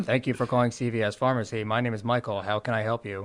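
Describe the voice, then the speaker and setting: A put-on character voice, robotic and monotone with flat intonation, at a very fast pace. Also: man, medium pitch for a man. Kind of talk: professional.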